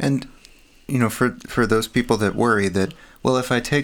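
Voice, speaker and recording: With an American accent, a man with an unremarkable speaking voice talks at a fairly quick pace and ordinary pitch variation, in a very clean recording over a silent background. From Texas. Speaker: podcast co-host, research scientist. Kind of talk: casual conversation.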